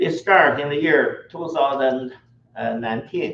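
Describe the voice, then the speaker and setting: A man with a Chinese accent and a fairly high pitch speaks at a fairly slow pace with fairly even intonation over noticeable background noise. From China. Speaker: tour operator. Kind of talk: travel orientation presentation.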